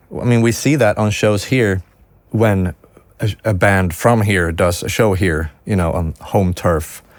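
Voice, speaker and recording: A man in a Swedish accent speaks at a fairly slow pace, his fairly low pitch varying in an ordinary way. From Sweden. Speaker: music producer and recording engineer. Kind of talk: podcast interview. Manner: hesitant, with frequent self-corrections.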